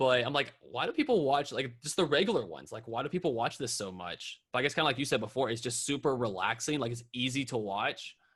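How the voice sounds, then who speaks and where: Against a quiet background, a man with an American accent talks at a very fast pace. His medium-pitched voice has a bright, sharp tone. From North Carolina. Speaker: YouTuber and drummer. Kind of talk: podcast interview. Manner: casual.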